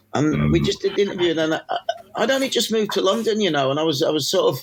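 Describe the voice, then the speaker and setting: A man rushes along at a very fast pace with noticeable background noise present. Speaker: music journalist. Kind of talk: podcast interview answer.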